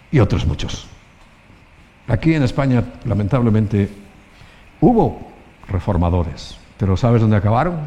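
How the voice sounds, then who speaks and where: Amid noticeable background noise, a man with a fairly low pitch and lively intonation talks at a moderate pace, leaving long, frequent pauses. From Spain. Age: 60s. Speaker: pastor. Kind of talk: sermon.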